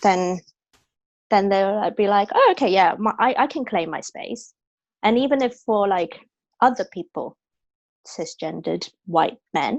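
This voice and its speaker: Against a quiet background, a woman with a British accent speaks fairly slowly at a medium pitch, with lively intonation and long, frequent pauses. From Hong Kong. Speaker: actor. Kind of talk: interview. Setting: video call.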